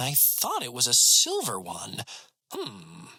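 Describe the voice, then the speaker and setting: A man does a put-on character voice. He speaks at a fairly slow pace. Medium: read story. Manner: fussy, self-important.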